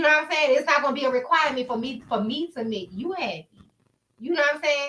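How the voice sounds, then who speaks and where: Speaking very fast in a raised, projected voice, the speaker has a bright, sharp tone and ordinary pitch variation. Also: woman, high pitch for a woman. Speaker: podcast co-host. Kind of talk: casual chat.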